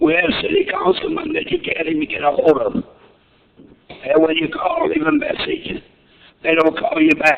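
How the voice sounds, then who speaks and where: Background noise is noticeable as a man speaks at a moderate pace. He takes long, frequent pauses. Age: 60s. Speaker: public commenter at council meeting. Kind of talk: public comment speech. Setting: city council meeting. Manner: emphatic.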